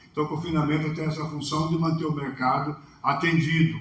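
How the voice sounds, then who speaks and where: A man with a fairly high voice talks fairly quickly amid noticeable background noise. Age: 60s. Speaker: livestock consultant. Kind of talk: talk with Q&A.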